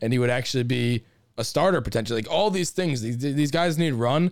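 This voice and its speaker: An ordinary speaking voice from a man, medium in pitch, with lively intonation. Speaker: baseball podcast host. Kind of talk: casual recap and eulogy, with some venting. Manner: conversational, somewhat sardonic, stays calmer than S4.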